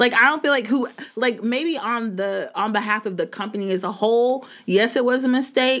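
A woman with a fairly high pitch speaks at a moderate pace with ordinary pitch variation. Noticeable background noise runs underneath. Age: 30s. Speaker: podcast co-host. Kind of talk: casual chat.

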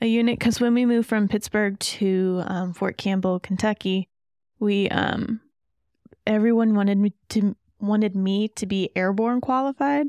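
At a moderate pace, a woman of medium pitch speaks with a dark, mellow tone and fairly even intonation. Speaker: guest, army reservist and parent. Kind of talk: casual interview chat.

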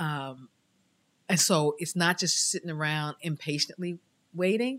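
A woman with an American accent at a moderate pace, fairly even intonation, on a very clean recording with a silent background. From New York City (Queens). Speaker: churchgoer sharing faith story. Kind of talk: testimony.

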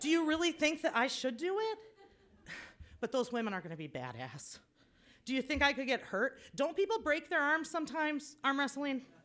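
A woman with a high voice speaks at a fairly quick pace, her intonation lively. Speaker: storyteller. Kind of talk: live personal storytelling. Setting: stage with audience.

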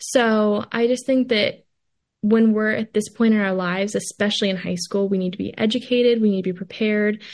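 An unremarkable speaking voice from a woman, medium in pitch with fairly even intonation, at a moderate pace over a quiet background. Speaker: college student. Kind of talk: interview.

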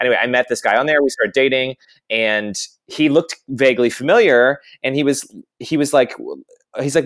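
American-accented male speech, very clean recording, silent background. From US South. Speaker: actor and podcast host. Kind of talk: casual chat.

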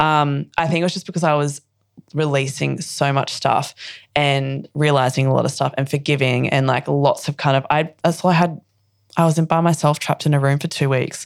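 In an Australian accent, a woman with a very deep, low pitch talks at a fairly quick pace. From Australia (Queensland). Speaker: actress and poet. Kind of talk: casual interview chat. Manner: bubbly, laughing.

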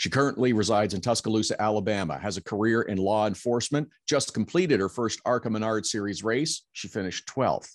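An unremarkable speaking voice, this man's fairly low pitch and ordinary pitch variation come at a fairly quick pace with hardly any pauses, on a very clean recording with a silent background. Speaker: podcast co-host. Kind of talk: casual chat.

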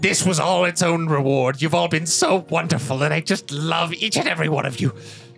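In a put-on character voice, a man speaks at a fairly quick pace with fairly high pitch and very even loudness. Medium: actual play. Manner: silky, repeats 'you understand?'.

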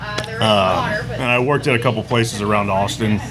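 A man's medium-pitched voice in a Texan accent, monotone and flat at a moderate pace, with audible room echo and noticeable background noise. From Texas, Katy. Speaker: barbecue restaurant owner. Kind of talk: casual interview. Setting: at his restaurant.

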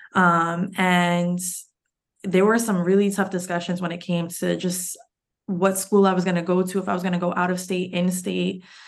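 A woman's medium-pitched voice, flat and monotone, at a moderate pace with audible room echo. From New York City, Lower East Side. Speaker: financial therapist. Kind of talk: casual interview.

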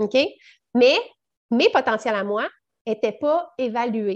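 With a Quebec accent, a woman speaks at a fairly high pitch. Her intonation is lively, and the background is quiet. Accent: Québécois French. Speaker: network marketing entrepreneur, mother. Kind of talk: casual interview chat.

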